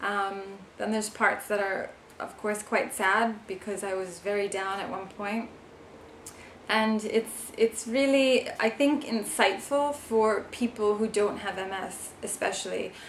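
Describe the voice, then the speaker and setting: A woman with an American accent speaks at a fairly slow pace and a fairly high pitch. Her intonation is fairly even, with noticeable background noise behind her. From New York. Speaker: vlogger, author and musician. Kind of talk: casual vlog. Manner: hesitant, many fillers.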